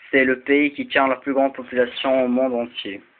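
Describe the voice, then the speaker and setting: The speaker talks at a fairly slow pace in an Arabic accent. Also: man. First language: Arabic (speaking French). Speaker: video blogger. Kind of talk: explainer talk. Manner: halting, many fillers and repeats.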